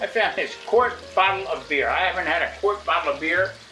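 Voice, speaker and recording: A man speaks with music in the background. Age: 60s. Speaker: cooking channel host. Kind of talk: casual cooking tutorial. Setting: home kitchen. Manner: casual, halting with restarts.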